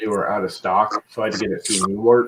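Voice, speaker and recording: A man with a fairly low pitch and a normal speaking voice, at a fairly quick pace. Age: 50s. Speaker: streamer. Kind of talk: casual chat.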